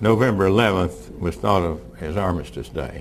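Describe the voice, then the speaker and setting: Through noticeable background noise, a man talks at a fairly slow pace in a very deep, low voice. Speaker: war veteran. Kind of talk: speech to an audience. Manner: casual, humorous.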